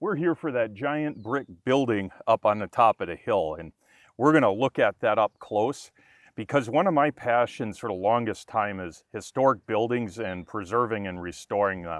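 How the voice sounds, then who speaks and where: With a Wisconsin accent, a man talks with lively intonation and big swings in loudness. His voice sounds dry and close, with no echo. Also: quiet background. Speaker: YouTuber. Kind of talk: casual vlog narration. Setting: outdoors.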